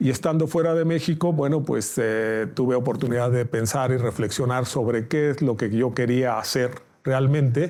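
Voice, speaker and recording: A man's dark, mellow voice at medium pitch, moderate in pace, very even in loudness with hardly any pauses, on a very clean recording with a silent background. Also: ordinary pitch variation. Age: 60s. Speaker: judge. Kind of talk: interview. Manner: halting.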